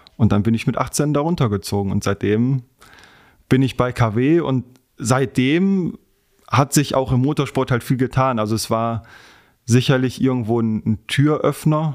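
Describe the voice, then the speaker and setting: A man's medium-pitched voice with ordinary pitch variation and long, frequent pauses. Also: fairly slow pace. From western Germany, Heinsberg area (North Rhine-Westphalia). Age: 20s. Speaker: racing driver and motorsport sales employee. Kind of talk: podcast interview. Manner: hesitant with frequent fillers.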